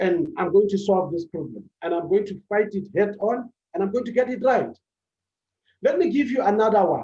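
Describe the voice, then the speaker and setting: A man speaks at a high pitch. His tone is dark and mellow. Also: ordinary pitch variation, moderate pace. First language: not English. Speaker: public speaking coach. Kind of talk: motivational talk on public speaking.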